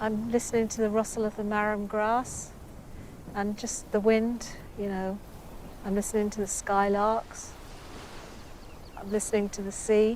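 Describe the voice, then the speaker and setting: Speaking at a moderate pace with an English accent, a woman with a fairly high pitch keeps a monotone, flat intonation and leaves long, frequent pauses. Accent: English accent like the presenter's. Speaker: artist. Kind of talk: casual interview.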